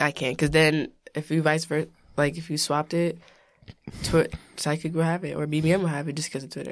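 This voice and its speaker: A woman with a very deep, low voice speaks at a fairly quick pace in a flat monotone, broken by long, frequent pauses. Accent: New York. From New York, Long Island (Elmont). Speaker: podcast co-host. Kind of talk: casual chat.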